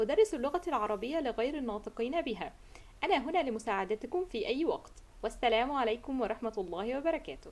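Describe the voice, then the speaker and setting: An Egyptian accent at a moderate pace, with very wide pitch swings. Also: woman, high pitch for a woman. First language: Arabic. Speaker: Arabic tutor. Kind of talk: formal greeting in Standard Arabic.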